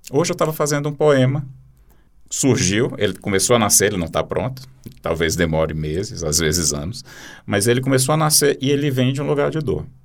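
Vocal fry colors a fairly quick delivery with very wide pitch swings. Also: man, medium pitch for a man. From Brazil, Teresina (Piauí). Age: 40s. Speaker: poet and journalist. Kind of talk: interview.

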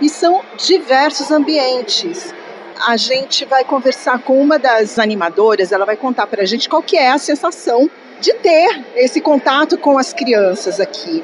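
A woman speaks at a fairly slow pace in a high voice with very wide pitch swings and very even loudness, over noticeable background noise. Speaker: radio co-host and reporter. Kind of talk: casual chat on radio show.

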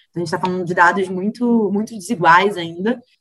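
A woman at a medium pitch uses fairly even intonation in an unremarkable speaking voice. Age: 30s. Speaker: director of a cultural institute. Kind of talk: interview.

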